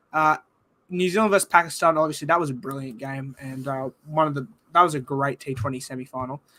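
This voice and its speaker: A man with an Australian accent at a very fast pace, fairly high-pitched with ordinary pitch variation, a bright, sharp tone and big swings in loudness. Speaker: sports podcast host. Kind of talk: casual chat.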